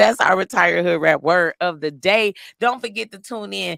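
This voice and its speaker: The woman's bright, sharp tone is animated and carries vocal fry at a moderate pace. Her sound is dry and close with no echo on a very clean recording with a silent background. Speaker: podcast host and comedian. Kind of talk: casual chat.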